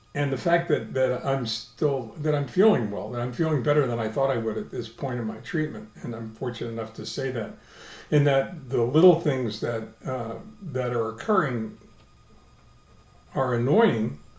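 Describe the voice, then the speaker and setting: Audible room echo surrounds a man of medium pitch speaking at a moderate pace. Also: ordinary pitch variation. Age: 70s. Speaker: video blogger, stem cell transplant patient. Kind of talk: personal video diary. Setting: video blog recording. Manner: halting, many fillers and repetitions.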